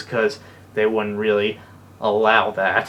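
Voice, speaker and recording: Noticeable background noise sits behind a man with a fairly low voice and fairly even intonation. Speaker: YouTuber. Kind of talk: vlog update. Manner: stutters when explaining; casual.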